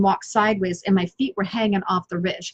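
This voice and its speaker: The sound is dry and close with no echo. A woman with a medium pitch and a somewhat breathy voice speaks at a moderate pace. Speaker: business coach and online show host. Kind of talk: motivational talk on a live stream. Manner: energetic.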